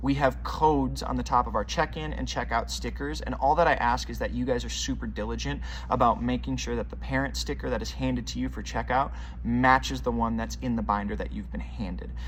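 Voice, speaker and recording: A man speaks in a very deep, low pitch. Audible room echo surrounds his voice. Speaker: children's ministry leader. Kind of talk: volunteer announcements video. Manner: fast; upbeat.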